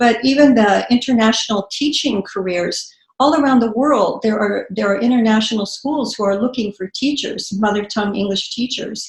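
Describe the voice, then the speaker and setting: Somewhat breathy and fairly high in pitch, a woman talks at a moderate pace with ordinary pitch variation and hardly any pauses. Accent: American. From US West (central California). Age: 60s. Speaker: author and poet. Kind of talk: interview conversation. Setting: video call. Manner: halting.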